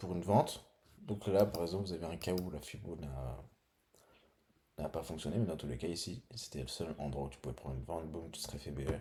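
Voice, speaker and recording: The voice has a dark, mellow tone with vocal fry. It moves at a fairly quick pace, broken by long, frequent pauses. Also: man, very deep, low pitch for a man, ordinary pitch variation. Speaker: trading educator. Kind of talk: tutorial. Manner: casual, thinking aloud.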